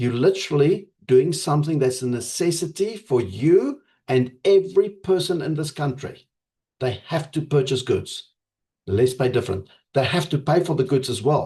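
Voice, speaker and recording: Somewhat breathy and dark, mellow in tone, a man talks at a moderate pace in a fairly high pitch with lively intonation. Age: 50s. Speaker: network marketing leader. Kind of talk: motivational pitch to members.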